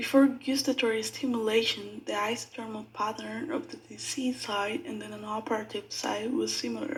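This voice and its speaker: Vocal fry runs through a woman's speech. Her pitch is fairly high. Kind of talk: medical presentation narration.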